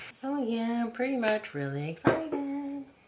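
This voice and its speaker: Noticeable background noise runs under a woman speaking at a very slow pace. Her fairly high pitch swings very widely. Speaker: lifestyle vlogger. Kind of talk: casual vlog chat. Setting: home beauty room. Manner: whispering.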